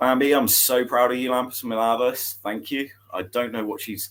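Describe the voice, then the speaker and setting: This is a man speaking. His pitch sits in the medium range. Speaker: pond and koi hobbyist YouTuber. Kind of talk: livestream chat reading comments. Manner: fast.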